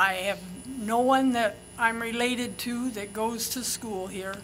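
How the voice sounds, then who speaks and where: A woman speaks in a fairly high voice with a bright, sharp tone. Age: 80s+. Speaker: public commenter, retired librarian. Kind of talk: public comment. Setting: podium at public meeting.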